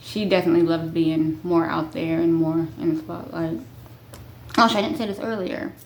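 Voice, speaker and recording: With audible room echo, a woman speaks at a fairly low pitch with ordinary pitch variation. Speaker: vlogger. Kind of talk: casual chat. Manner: halting.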